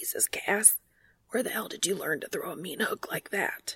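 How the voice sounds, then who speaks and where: A woman whispers in a put-on character voice that is hoarse and raspy. She keeps a moderate pace, and the sound is dry and close with no echo. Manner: barely above a whisper.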